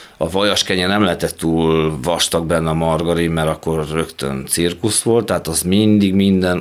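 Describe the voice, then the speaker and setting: Very deep, low male tones, ordinary pitch variation, and a fairly slow delivery from a man. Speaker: fencing coach, recovered addict. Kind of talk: interview. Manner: halting.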